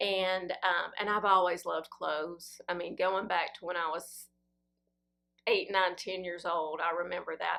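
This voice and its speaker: Speaking fairly slowly, the woman has a Southern US accent. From Tennessee. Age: 50s. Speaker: fashion vlogger. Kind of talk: casual Q&A chat.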